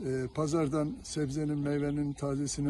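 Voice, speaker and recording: Somewhat breathy and pitched fairly high, this man's voice has a dark, mellow tone. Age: 70s. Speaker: cyclist. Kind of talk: street interview. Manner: halting.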